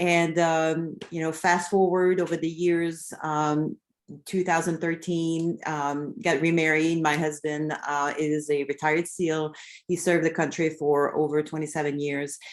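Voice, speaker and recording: This woman talks at a fairly slow pace in a French Canadian accent. Her pitch is very deep and low, with monotone, flat intonation. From Quebec, Canada. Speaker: real estate agent. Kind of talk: online seminar.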